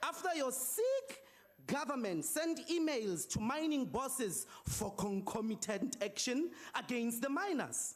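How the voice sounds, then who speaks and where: A man's extremely high-pitched voice at a fairly slow pace, with lively intonation and very even loudness. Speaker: opposition politician, parliamentary speaker. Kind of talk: parliamentary debate speech. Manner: forceful, accusatory, rhetorical.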